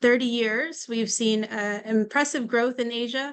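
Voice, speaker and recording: A woman with a fairly high pitch talks at a fairly slow pace with fairly even intonation. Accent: American. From US. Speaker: venture capital fund manager. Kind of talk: panel discussion.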